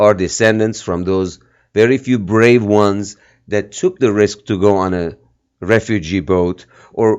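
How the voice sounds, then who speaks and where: A man with a slight Armenian accent speaks at a fairly low pitch and fairly slow pace. His intonation is fairly even, and the background is quiet. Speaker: filmmaker and activist. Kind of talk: interview.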